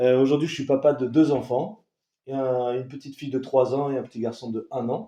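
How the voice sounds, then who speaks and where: Talking at a fairly quick pace, a man with a medium-pitched voice keeps his intonation fairly even while his loudness swings widely. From southern France (Toulon). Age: 20s. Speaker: coaching client. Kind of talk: interview testimony. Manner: hesitant, many fillers.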